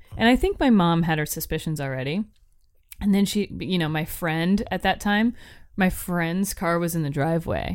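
A woman with an unremarkable speaking voice, fairly low in pitch, with ordinary pitch variation and a moderate pace, on a very clean recording with a silent background. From Florida, Tampa. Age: 20s. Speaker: podcast co-host. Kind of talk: casual chat.

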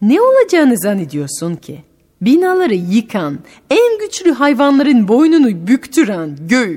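Her voice is high-pitched with a dark, mellow tone, and this woman swings her pitch very widely. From France. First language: French (speaking Turkish). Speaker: radio host and storyteller. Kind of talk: casual interview with children; storytelling.

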